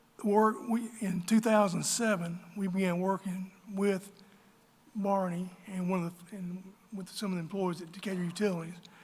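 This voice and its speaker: At a moderate pace, a man with an Alabama accent speaks in a high pitch with monotone, flat intonation. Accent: Southern US (Alabama). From US South, northern Alabama. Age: 60s. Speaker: local business owner. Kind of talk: public meeting speech.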